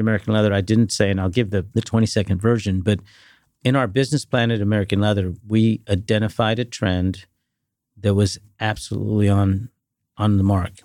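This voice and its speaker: A man with an ordinary speaking voice talks at a fairly quick pace and fairly low pitch, with fairly even intonation. The recording is very clean, with a silent background. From Dallas-Fort Worth, Texas (born in India). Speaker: private equity investor. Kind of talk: interview.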